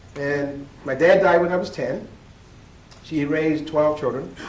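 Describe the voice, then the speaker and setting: The voice belongs to a man and sits fairly high in pitch. Room echo is audible. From Nova Scotia, Weymouth Falls, Digby County. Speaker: keynote speaker, educator. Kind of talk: keynote speech. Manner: animated.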